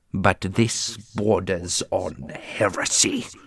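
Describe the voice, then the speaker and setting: Using a put-on character voice, a man speaks at a very slow pace. His pitch is fairly low. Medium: audio drama. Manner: authoritative, cold.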